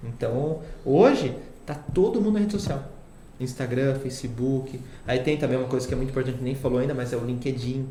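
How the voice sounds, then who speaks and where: A man at a fairly quick pace, with ordinary pitch variation, audible room echo and noticeable background noise. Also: medium pitch for a man. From Itatiba, São Paulo interior, Brazil. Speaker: social media agency CEO. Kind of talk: casual interview.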